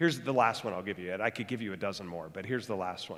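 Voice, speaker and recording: The voice belongs to a man. His pitch is fairly low. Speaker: pastor. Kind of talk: sermon. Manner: fast; animated.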